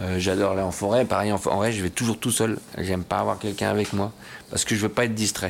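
A man talks very fast with a fairly low pitch and vocal fry. His intonation is monotone and flat. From France, Bois-le-Roi. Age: 50s. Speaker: show jumping rider and trainer. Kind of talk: interview. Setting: equestrian club clubhouse. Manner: halting, many hesitations.

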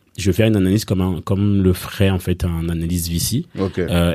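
On a very clean recording with a silent background, a man speaks at a fairly quick pace. His pitch is very deep and low, his tone dark and mellow. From Belgium, grew up after early childhood in Rwanda, Congo and Kenya refugee camps. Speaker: startup coach and fundraising advisor. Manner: hesitant, many fillers and repetitions.

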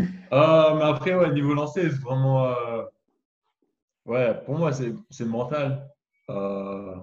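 A man speaks very slowly at a fairly high pitch, sounding somewhat breathy. His pitch varies in an ordinary way, and he takes long, frequent pauses. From France. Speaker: basketball draft prospect. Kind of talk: video interview.

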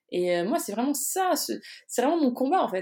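On a very clean recording with a silent background, a woman speaks at a moderate pace in an animated tone. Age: 20s. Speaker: social media consultant. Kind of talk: casual interview. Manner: spontaneous, animated.

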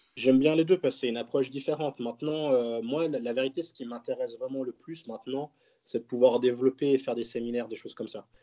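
Talking very fast, a man keeps a fairly even intonation at a medium pitch while his loudness swings a lot. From French-speaking Switzerland, near Geneva. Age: 20s. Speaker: professional bodybuilder. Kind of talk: casual chat.

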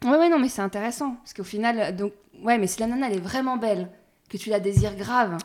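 Her speech runs at a very fast pace, with a fairly high pitch and ordinary pitch variation. This woman's loudness swings widely. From rural France, small village. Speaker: podcast host. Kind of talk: casual interview. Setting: at the guest's home.

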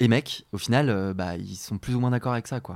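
A medium-pitched man speaks with ordinary pitch variation, moving at a fairly quick pace. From France, rural Beaujolais. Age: 20s. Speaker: podcast guest. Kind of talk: casual chat. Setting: at the host's home. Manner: hesitant, many fillers.

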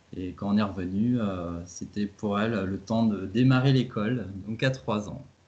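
The intonation stays fairly even. There are hardly any pauses. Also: man, fairly low pitch for a man. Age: 30s. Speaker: travel blogger and father. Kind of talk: interview. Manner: halting.

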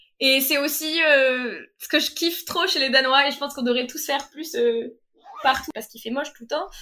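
Her voice is raised and projected, with big swings in loudness. The woman's pitch is high and varies in an ordinary way. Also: moderate pace. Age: 20s. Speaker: master's student. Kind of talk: casual chat. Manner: animated.

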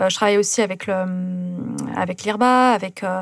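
A calm-toned woman at a medium pitch, with ordinary pitch variation and a fairly slow pace. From southern France, Carcassonne and Toulouse area. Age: 30s. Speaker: ultra-distance runner and polar adventurer. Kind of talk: interview.

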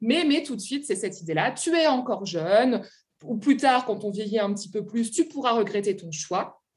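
This woman sounds somewhat breathy, with a fairly high pitch, lively intonation and a moderate pace. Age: 30s. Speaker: literature lecturer and author. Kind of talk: interview. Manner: halting.

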